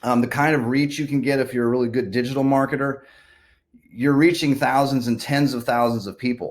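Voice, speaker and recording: On a very clean recording with a silent background, a man of medium pitch talks at a fairly quick pace with fairly even intonation. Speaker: real estate agent. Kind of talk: market update monologue. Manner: fast; casual, filler-heavy.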